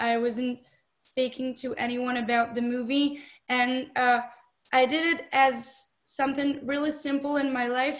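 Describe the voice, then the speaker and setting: In a French accent, a woman talks at a high pitch and a fairly slow pace. Her intonation is monotone and flat. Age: 20s. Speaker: film director and actress. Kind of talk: interview. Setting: video call. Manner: hesitant, many fillers.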